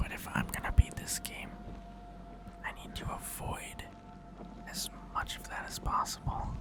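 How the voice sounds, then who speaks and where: A whispering voice moves at a moderate pace with long, frequent pauses. Music plays in the background. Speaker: gaming streamer. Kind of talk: let's play commentary. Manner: quiet, below normal volume.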